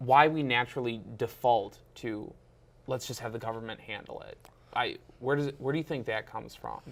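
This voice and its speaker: On a very clean recording with a silent background, a man speaks at a fairly quick pace. He has a normal speaking voice at a medium pitch. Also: fairly even intonation. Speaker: talk show host. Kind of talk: interview host.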